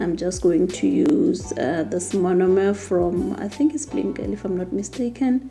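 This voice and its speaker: A woman at a fairly slow pace with very wide pitch swings, music in the background. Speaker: nail tech content creator. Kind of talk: tutorial. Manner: halting.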